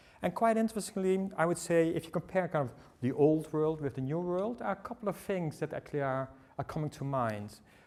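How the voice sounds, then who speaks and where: The speaker has a Dutch accent. The delivery is very fast. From Netherlands. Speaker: tech company speaker. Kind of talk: seminar presentation. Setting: seminar with audience. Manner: halting, many fillers.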